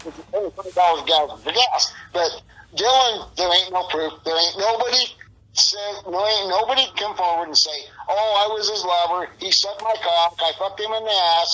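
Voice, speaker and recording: A man projects a raised, high voice at a fairly quick pace with ordinary pitch variation. Noticeable noise sits in the background. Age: 60s. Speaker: interviewee in a missing-person case. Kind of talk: interview. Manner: animated.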